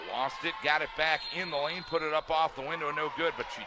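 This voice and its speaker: Over noticeable background noise, a man speaks at a fairly quick pace and a fairly high pitch. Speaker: sports play-by-play announcer. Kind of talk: radio style play-by-play. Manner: fast.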